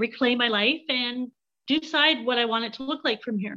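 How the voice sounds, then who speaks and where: A woman speaks with a Canadian accent. Her pitch is high and her pace moderate. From Canada.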